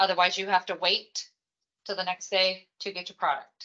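A woman talks at a moderate speed, and the background is quiet. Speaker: volunteer trainer presenting slides. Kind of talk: training presentation. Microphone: video call.

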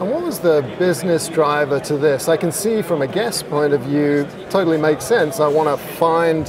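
With clear background noise behind him, a man speaks at a moderate pace with fairly high pitch and fairly even intonation.

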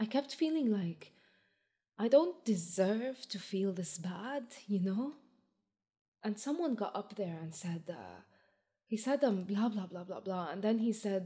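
A woman's dark, mellow, somewhat breathy tone with lively intonation, a fairly slow pace and long, frequent pauses over a quiet background. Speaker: performer or storyteller. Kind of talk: monologue, recounting a story. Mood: earnest, emotional.

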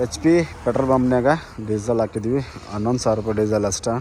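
Fast-paced man's voice, slightly mellow in tone, with fairly even intonation. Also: medium pitch for a man.

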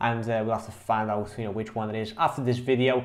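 A man speaks against a quiet background. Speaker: online marketing coach. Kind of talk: casual tutorial vlog talk. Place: home room. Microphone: studio mic.

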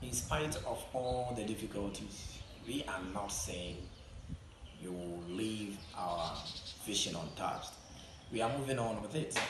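A man talks at a fairly slow pace with long, frequent pauses. The room echoes audibly and background noise is noticeable. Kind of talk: interview answer. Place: classroom. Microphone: camera far.

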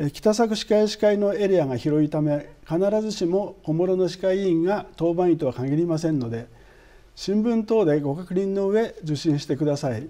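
Against a quiet background, a man speaks with a high pitch and a dark, mellow tone. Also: ordinary pitch variation, moderate pace. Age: 60s. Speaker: dentist, dental association president. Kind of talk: interview, formal explanation. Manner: formal. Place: studio. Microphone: lapel.

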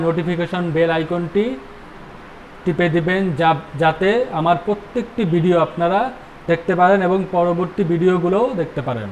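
A man talks in a high-pitched voice with fairly even intonation. Light background noise can be heard. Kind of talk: health advice talk. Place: shop. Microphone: lapel.

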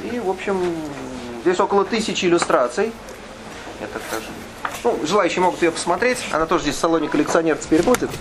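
Talking at a very fast pace with long, frequent pauses, the speaker uses ordinary pitch variation over noticeable background noise. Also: man, high pitch for a man. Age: 50s. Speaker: author. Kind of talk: book presentation talk. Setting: bookstore event with audience. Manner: hesitant, filler-heavy.

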